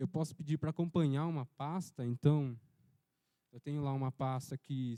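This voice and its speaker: A man speaks at a moderate pace with a fairly high pitch and a dark, mellow tone. The sound is dry and close, with no echo. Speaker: workshop instructor. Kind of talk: software tutorial.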